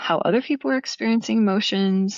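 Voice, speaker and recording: This is a woman speaking with a Pacific Northwest accent. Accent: Pacific Northwest American. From Portland, Oregon. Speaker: dance teacher and performer. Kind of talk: interview answer.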